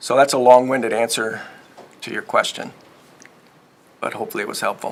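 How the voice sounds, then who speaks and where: Over noticeable background noise, a man at medium pitch speaks fairly quickly in a flat monotone, with big swings in loudness. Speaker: software presenter. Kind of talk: technical presentation with Q&A.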